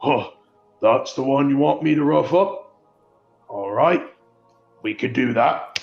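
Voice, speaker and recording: A man bellows in a put-on character voice with a menacing tone and a fairly high pitch. He goes at a fairly slow pace with long, frequent pauses, and faint music plays in the background. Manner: bellowing, menacing.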